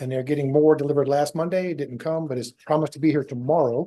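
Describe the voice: A man speaks with a dark, mellow tone at a fairly high pitch. His intonation stays fairly even.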